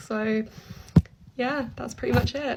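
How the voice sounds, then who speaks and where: A high-pitched woman's voice with a British accent over noticeable background noise. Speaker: online advocate featured in commentary video. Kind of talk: recorded personal statement. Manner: monotone; calm.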